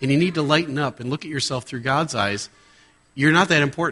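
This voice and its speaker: A man with an animated, bright, sharp tone and a fairly high pitch. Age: 50s. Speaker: guest preacher and airline pilot. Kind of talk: sermon.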